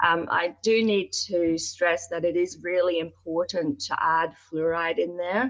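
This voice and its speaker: A woman speaks in a Northern Irish accent, her pitch fairly low. She talks at a fairly slow pace with hardly any pauses. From Northern Ireland (Belfast). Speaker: dentist. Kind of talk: interview. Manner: hesitant fillers.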